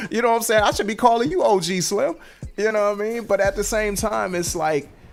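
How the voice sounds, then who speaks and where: Over music in the background, a man with an American accent talks at a very fast pace in a high pitch, with ordinary pitch variation. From Washington DC. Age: 40s. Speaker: rapper and show host. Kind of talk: live-stream podcast monologue. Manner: casual, conversational.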